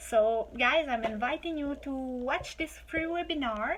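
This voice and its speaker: Spoken at a moderate pace with a Quebec accent. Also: woman. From Quebec, Quebec City. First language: French. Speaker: online business promoter. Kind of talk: sales pitch. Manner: animated.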